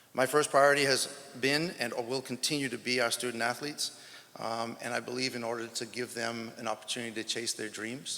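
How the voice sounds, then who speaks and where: Speaking at a fairly quick pace, a man with an American accent shows vocal fry and a bright, sharp tone. His pitch is medium and his intonation fairly even. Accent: sounds American. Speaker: track and field head coach. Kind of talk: press conference speech. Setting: press conference.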